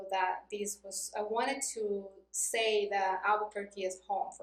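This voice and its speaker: A woman speaks with a Mexican accent at a medium pitch. Her pace is fairly slow. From Mexico, Cuernavaca, Morelos. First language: Spanish. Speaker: non-profit worker. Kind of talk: interview.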